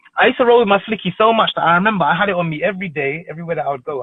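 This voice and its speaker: A man speaks at a very fast pace in a London accent. His voice sits high in pitch. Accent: London multicultural English. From northwest London. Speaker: TV presenter. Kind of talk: casual chat. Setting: live stream.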